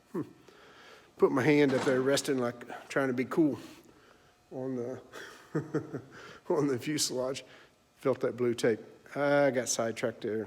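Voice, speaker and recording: With a Southern US accent, a man speaks at a moderate pace and medium pitch, keeping fairly even intonation and taking long, frequent pauses. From US South. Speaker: vintage aircraft restorer, hobbyist YouTuber. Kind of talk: casual workshop video log. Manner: halting, rambling with fillers.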